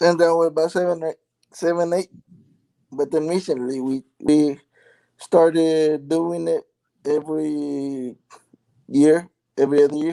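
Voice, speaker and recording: Long, frequent pauses break up a man's dark, mellow tone in a dry, close sound with no echo. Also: fairly high pitch for a man. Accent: strong Mexican. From California and Mexico. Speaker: live stream participant. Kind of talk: casual chat.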